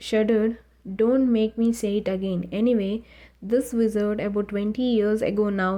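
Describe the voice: The intonation holds fairly even. The delivery is plain reading aloud.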